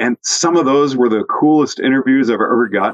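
A man with an unremarkable speaking voice talks at a moderate pace with ordinary pitch variation, the sound dry and close with no echo. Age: 60s. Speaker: ski instructor and podcast host. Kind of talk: casual chat.

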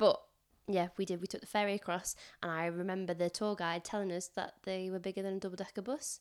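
A woman with a northern English accent speaks at a very fast pace and medium pitch. Her intonation is fairly even, and the recording is very clean with a silent background. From northern England. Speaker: teaching assistant. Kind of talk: casual chat. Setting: in person at home.

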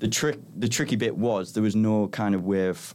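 With a Teesside accent, a man speaks at a moderate pace with lively intonation on a very clean recording with a silent background. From northern England, Middlesbrough. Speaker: tech startup co-founder. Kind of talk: casual interview chat.

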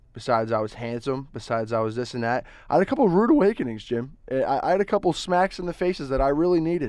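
A man with an American accent, very fast and with hardly any pauses, at a fairly high pitch with very wide pitch swings, over a quiet background. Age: 20s. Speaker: college student and sports reporter. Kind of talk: casual chat. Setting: studio. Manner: halting, repeats words.

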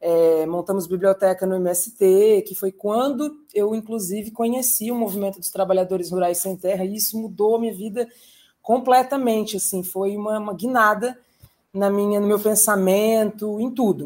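A woman talks at a medium pitch with fairly even intonation. Hers is an unremarkable speaking voice. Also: moderate pace. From São Paulo state, Brazil. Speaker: poet, translator and teacher. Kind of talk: casual chat. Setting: video call.

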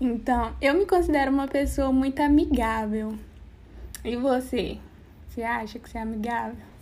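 A woman speaks at a high pitch and a moderate pace, with ordinary pitch variation and big swings in loudness. Her long, frequent pauses ring with audible room echo. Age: 20s. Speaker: podcast host. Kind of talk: casual chat.

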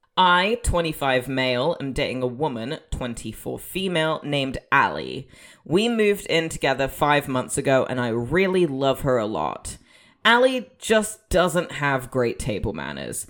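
At a fairly slow pace, the voice shows vocal fry and very wide pitch swings, recorded very cleanly with a silent background. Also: woman, very deep, low pitch for a woman. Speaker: podcast host. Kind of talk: casual chat.

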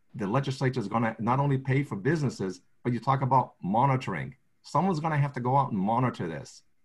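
A man's somewhat breathy voice at a medium pitch, with ordinary pitch variation and a fairly quick pace. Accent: American. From southeastern Massachusetts. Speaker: state agency official for the blind. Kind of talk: video conference discussion. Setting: video call.

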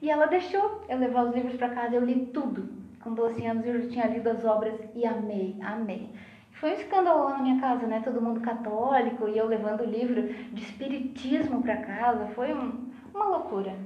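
With a Rio Grande do Sul accent, a woman talks at a fairly quick pace in a high pitch with ordinary pitch variation, amid noticeable background noise and audible room echo. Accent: sounds gaúcho (southern Brazilian). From Santa Catarina, Brazil (Lages). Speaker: pharmacist and spiritist speaker. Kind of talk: casual chat.

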